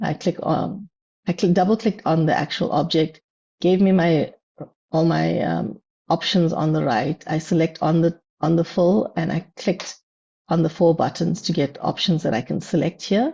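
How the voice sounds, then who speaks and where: Fairly low in pitch, a woman speaks with vocal fry. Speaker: business analyst speaker. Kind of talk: tutorial. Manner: hesitant, many fillers.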